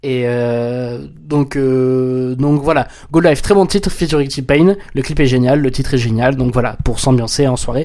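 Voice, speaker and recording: With hardly any pauses, a man speaks at medium pitch. His tone is dark and mellow, with ordinary pitch variation. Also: fairly slow pace. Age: 20s. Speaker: podcast host. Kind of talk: casual solo commentary. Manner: halting, many repetitions and fillers.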